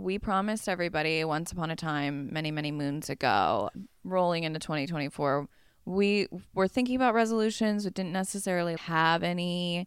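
In a very clean recording with a silent background, a woman with an ordinary speaking voice and medium pitch talks at a moderate pace with lively intonation. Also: dry, close sound with no echo. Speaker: podcast co-host. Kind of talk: casual chat. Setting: home recording with street traffic noise.

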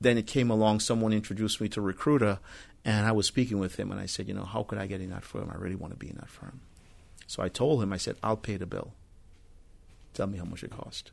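In a quiet background, a man with a Trinidadian accent talks at a very fast pace in a fairly low pitch, his intonation fairly even but his loudness swinging widely. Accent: Trinidadian island. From Trinidad, later Brooklyn, New York. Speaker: real estate broker and rideshare driver. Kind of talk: casual chat.

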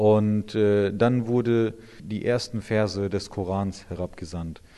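Dark and mellow in tone, this man's voice sits fairly low with ordinary pitch variation. The background is quiet. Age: 30s. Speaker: imam. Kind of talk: interview answers explaining religion to children. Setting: inside a mosque.

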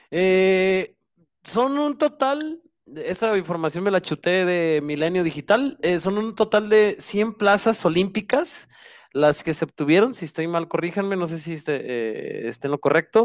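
A man speaks at a fairly slow pace, his voice high in pitch. The sound is dry and close, with no echo. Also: lively intonation. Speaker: basketball section commentator. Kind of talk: casual sports talk.

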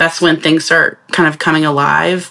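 A woman in an American accent speaks at a fairly quick pace with monotone, flat intonation. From US South, northeast Georgia. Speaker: graphic designer and art director. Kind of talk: casual chat.

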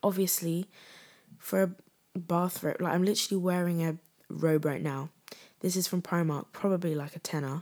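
A woman with a fairly low pitch and fairly even intonation is heard in a very clean recording against a silent background. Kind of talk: casual solo chat. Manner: giggly, casual.

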